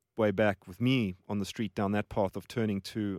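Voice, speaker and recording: A man with a fairly low pitch and monotone, flat intonation at a moderate pace, in a dry, close sound with no echo and a very clean recording with a silent background. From South Africa, Johannesburg. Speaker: charity mission worker. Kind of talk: casual interview. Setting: studio.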